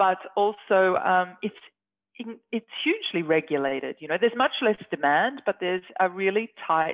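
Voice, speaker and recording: A woman's lively intonation with an Australian accent. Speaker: scientist. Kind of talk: interview.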